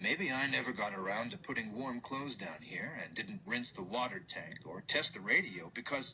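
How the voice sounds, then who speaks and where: The speaker uses a put-on character voice that sounds strained. The pace is moderate, with clear background noise. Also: man, medium pitch for a man. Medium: read story. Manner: even, restrained.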